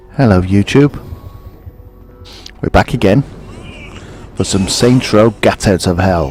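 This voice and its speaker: Music plays behind a man with a Midlands accent and a fairly low pitch. He talks fairly slowly with lively intonation and long, frequent pauses. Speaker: gaming YouTuber. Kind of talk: gameplay commentary. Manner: casual, rambling.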